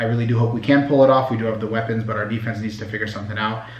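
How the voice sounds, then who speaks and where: In a room with audible echo and noticeable background noise, a man with a fairly low pitch talks very fast in a flat, monotone way. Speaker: sports fan vlogger. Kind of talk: casual reaction monologue.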